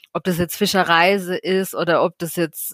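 A woman's flat, monotone voice in a very clean recording with a silent background, dry and close with no echo. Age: 30s. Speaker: marine conservation activist. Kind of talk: podcast interview.

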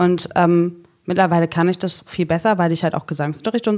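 Talking very fast, this woman keeps an ordinary amount of pitch movement. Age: 30s. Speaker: social worker. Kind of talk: casual chat.

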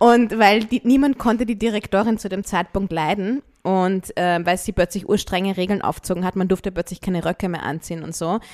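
A woman's plain, everyday voice, medium in pitch with ordinary variation, at a fairly quick pace, in a dry, close sound with no echo. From Austria, Vienna. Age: 30s. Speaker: singer-songwriter. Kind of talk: casual chat.

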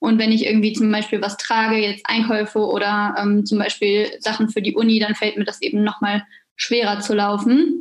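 A woman's fairly high voice, somewhat breathy, moves at a moderate tempo with fairly even intonation. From western Germany, near Düsseldorf. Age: 20s. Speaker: psychology graduate student, wheelchair user. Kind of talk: interview.

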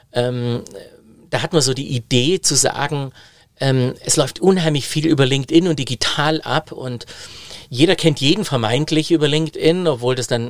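A man speaks at a moderate pace in a normal speaking voice. His pitch is fairly high, with ordinary pitch variation. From Baden-Württemberg, Germany (Biberach an der Riß). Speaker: digitalization consultant and keynote speaker. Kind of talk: interview conversation.

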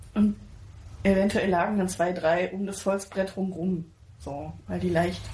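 Using a very slow pace with long, frequent pauses, a woman speaks at a medium pitch with a dark, mellow tone, vocal fry and monotone, flat intonation. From Pirna near Dresden, Saxony, Germany. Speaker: podcast co-host. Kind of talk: casual chat.

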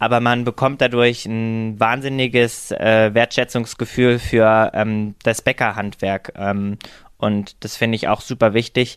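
A man speaks at a fairly slow pace and medium pitch, his intonation monotone and flat. The sound is dry and close with no echo, over a quiet background. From eastern Germany, Halle an der Saale. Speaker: influencer and veterinary student. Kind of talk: casual interview. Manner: hesitant with many fillers.

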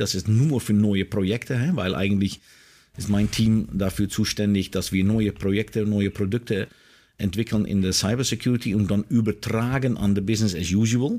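In a very clean recording with a silent background, a man with a Dutch accent speaks at a fairly low pitch with a dark, mellow tone, fairly even intonation and very even loudness. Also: moderate pace. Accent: Dutch accent in German, non-native. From Netherlands. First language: Dutch (speaking German). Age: 50s. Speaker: information security executive. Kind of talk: interview. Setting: outdoors in a garden. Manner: halting, many fillers.

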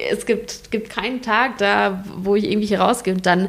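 Her pitch is medium and her pace moderate. The woman's voice carries vocal fry. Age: 20s. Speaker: hospice volunteer. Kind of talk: interview. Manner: halting.

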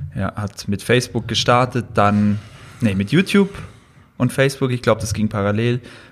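Pausing long and often, a man speaks at a moderate pace and medium pitch with ordinary pitch variation. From Allgäu, southern Germany. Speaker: fitness social media creator and student. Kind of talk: casual chat.

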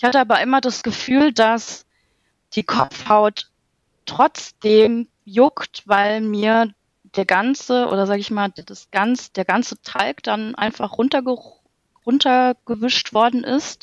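A woman's fairly high voice at a very slow pace, ordinary pitch variation, the sound dry and close with no echo. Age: 30s. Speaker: project manager in construction, course participant. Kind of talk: casual interview.

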